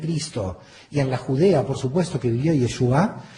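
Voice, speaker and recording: A man talks at a moderate pace with lively intonation. There is audible room echo. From Argentina, Buenos Aires. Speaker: theology lecturer. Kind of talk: lecture.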